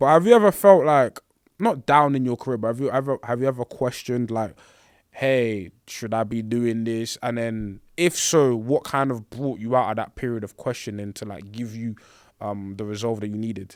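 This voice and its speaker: In a very clean recording with a silent background, a man with a London accent speaks at a moderate pace, medium pitch and ordinary pitch variation. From England, Congolese background. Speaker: podcast host. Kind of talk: casual chat.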